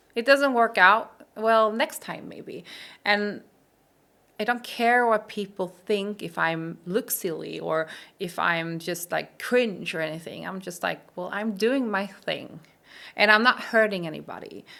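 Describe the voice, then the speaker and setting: A woman's bright, sharp voice with a non-native accent, medium pitch, ordinary pitch variation, big swings in loudness and a fairly slow pace. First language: Swedish. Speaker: coach. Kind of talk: casual chat.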